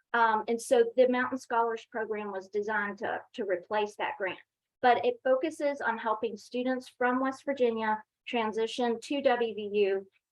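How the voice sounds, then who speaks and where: At a moderate pace, a woman talks with a fairly high pitch and fairly even intonation. It is an unremarkable speaking voice. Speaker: university staff presenter. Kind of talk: workshop presentation.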